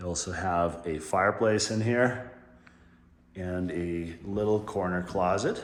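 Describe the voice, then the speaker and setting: Intonation stays fairly even at a fairly slow pace. Room echo is audible. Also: man, very deep, low pitch for a man. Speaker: real estate agent giving home tour. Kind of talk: home tour walkthrough narration. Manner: casual, conversational.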